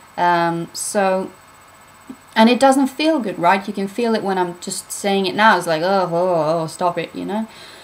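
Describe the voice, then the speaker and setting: At a fairly slow pace, a woman with a British accent speaks with medium pitch. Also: ordinary pitch variation. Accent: British-sounding English. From Norway. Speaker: spiritual vlogger. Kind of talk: casual vlog talk. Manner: casual, hesitant with fillers.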